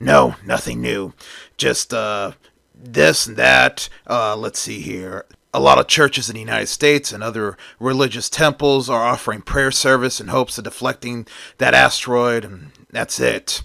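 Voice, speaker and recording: Recorded dry and close with no echo, a man puts on a character voice at a medium pitch, keeping a moderate pace with big swings in loudness. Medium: read story.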